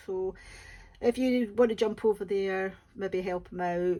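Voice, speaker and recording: In a Scottish accent, a woman talks at a moderate pace with a dark, mellow tone. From West Coast of Scotland, Ayrshire. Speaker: diamond painting YouTuber. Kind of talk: casual chat. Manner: halting, many fillers.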